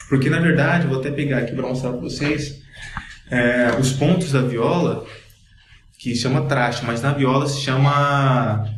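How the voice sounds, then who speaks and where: A man speaks with a fairly high pitch and fairly even intonation. Audible room echo and noticeable background noise surround him. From Cuiabá, Mato Grosso, Brazil. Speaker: blogger, writer and musician. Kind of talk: podcast interview, casual chat. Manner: casual, explanatory.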